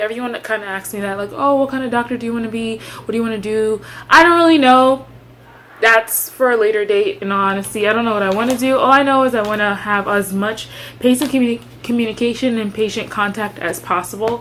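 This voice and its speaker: A woman with a fairly high voice and ordinary pitch variation speaks at a very fast pace amid noticeable background noise. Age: 20s. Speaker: medical student and vlogger. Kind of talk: casual vlog chat.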